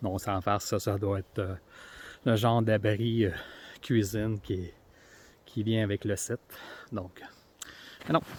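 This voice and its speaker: With a Quebec accent, a man speaks at a fairly slow pace with fairly even intonation and long, frequent pauses. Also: fairly low pitch for a man. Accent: Québécois French. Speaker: outdoor vlogger. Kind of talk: casual vlog narration. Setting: outdoors. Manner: hesitant, many fillers.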